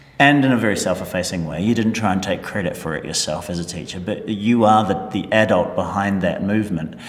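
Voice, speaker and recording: Against noticeable background noise, a man talks at a fairly quick pace with hardly any pauses. His pitch is fairly low, with ordinary variation. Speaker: podcast host, school staff. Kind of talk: casual chat.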